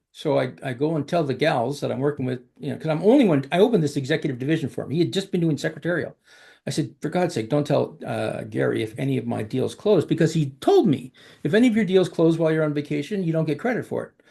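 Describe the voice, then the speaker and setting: Speaking very fast with a Canadian accent, a man uses a fairly high pitch, a dark, mellow tone with vocal fry, and lively intonation over a quiet background. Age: 60s. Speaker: executive recruiter. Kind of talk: interview storytelling. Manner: halting, many fillers.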